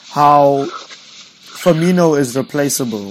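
Over noticeable background noise, a man talks in a fairly high pitch with ordinary pitch variation. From South Africa. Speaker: football podcast host. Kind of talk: casual chat.

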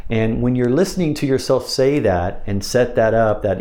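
Noticeable noise hums in the background. A man is talking over it. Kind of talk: instructional talk about hypnosis scripts, with trance-induction wording.

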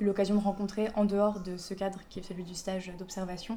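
A woman speaks at a medium pitch and a fairly quick pace. Her intonation stays flat and monotone. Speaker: civic volunteer reporter. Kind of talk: audio vlog narration. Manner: quiet.

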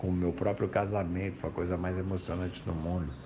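A man speaks in a very deep, low voice, with audible echo from the room. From Brazil, São Paulo. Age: 50s. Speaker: former pro surfer, speaker. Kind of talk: personal testimony interview.

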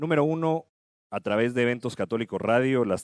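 A man speaks with an unremarkable speaking voice at a moderate pace and with ordinary pitch variation. The recording is very clean, with a silent background and a dry, close sound free of echo. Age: 30s. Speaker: radio host. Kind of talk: casual chat.

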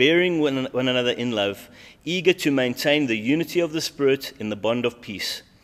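At a moderate pace, a man with a normal speaking voice talks at a fairly high pitch with lively intonation. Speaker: pastor leading prayer. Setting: church prayer meeting streamed online.

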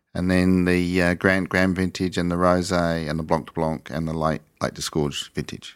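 Someone with an Australian accent speaks at a fairly slow pace in a monotone, flat intonation, on a very clean recording with a silent background. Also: man. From England, east coast; raised in Australia from mid-1960s. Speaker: sparkling winemaker. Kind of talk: interview conversation.

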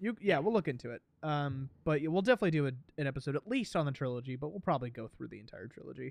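A man mumbles at a very fast pace with lively intonation. The sound is dry and close with no echo, over a quiet background. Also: fairly high pitch for a man, big swings in loudness. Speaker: movie podcast co-host. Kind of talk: casual chat. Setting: remote call. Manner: mumbling.

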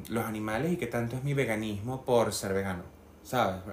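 A man speaks at a medium pitch with ordinary pitch variation and a Venezuelan accent, with audible room echo. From Venezuela, Barinas. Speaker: candle maker. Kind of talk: casual chat.

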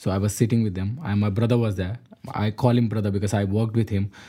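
This man's voice is dark, mellow and somewhat breathy. It sits fairly low in pitch with monotone, flat intonation. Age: 20s. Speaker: interview guest, husband in interfaith couple. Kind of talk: interview.

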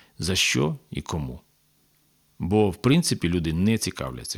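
This man's pitch is very deep and low, with very wide swings. He keeps a moderate pace. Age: 50s. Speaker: public broadcaster manager and former city councillor. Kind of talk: casual chat. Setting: studio.

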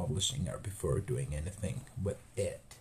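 A man with a Spanish accent talks at a fairly low pitch and a fairly slow pace. His voice is somewhat breathy. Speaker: podcast host. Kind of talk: casual interview chat.

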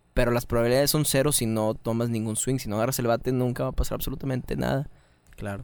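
This man talks at a very fast pace with a Mexican accent. His pitch is medium and his intonation fairly even. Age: 20s. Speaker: rock musician and content creator. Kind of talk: casual chat.

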